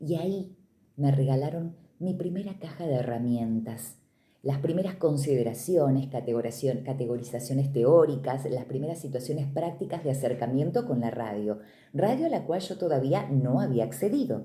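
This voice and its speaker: A woman speaks at a moderate pace in a very deep, low pitch, her dark, mellow tone somewhat breathy, with ordinary pitch variation and audible room echo. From Argentina, Córdoba province (Río Cuarto). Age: 40s. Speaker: radio announcer and literature teacher. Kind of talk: interview testimony. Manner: clear, practiced announcer delivery.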